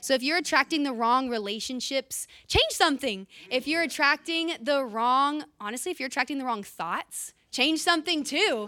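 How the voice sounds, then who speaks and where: Projecting a raised voice with a bright, sharp tone, a woman speaks at a high pitch and a moderate pace, animated, with lively intonation and hardly any pauses. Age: 20s. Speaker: church leader giving a talk. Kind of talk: sermon.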